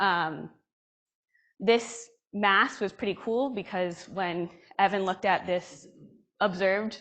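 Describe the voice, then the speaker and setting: A woman's medium pitch with ordinary variation, against a quiet background. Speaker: astrophysics researcher. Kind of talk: conference talk. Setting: conference room with audience. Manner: slow; hesitant, many fillers.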